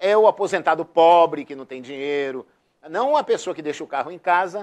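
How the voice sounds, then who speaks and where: Against a quiet background, a man speaks at a high pitch with ordinary pitch variation and big swings in loudness. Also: moderate pace. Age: 60s. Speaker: city councillor. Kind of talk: TV interview. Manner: hesitant, many repetitions.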